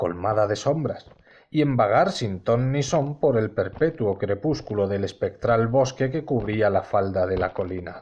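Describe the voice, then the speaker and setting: A man with a Castilian accent speaks at a fairly slow pace. His intonation is lively, over a quiet background. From Spain. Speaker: audiobook narrator. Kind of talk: audiobook reading.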